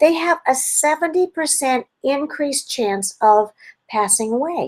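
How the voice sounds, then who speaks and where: Animated in tone, a woman talks at a fairly slow pace with very wide pitch swings. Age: 60s. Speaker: health educator. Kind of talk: webinar talk. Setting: video call.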